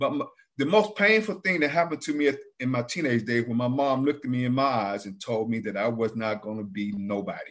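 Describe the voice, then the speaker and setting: A man with a normal speaking voice talks at a fairly quick pace and medium pitch. The recording is very clean, with a silent background. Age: 60s. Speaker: abuse survivor. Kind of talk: testimony.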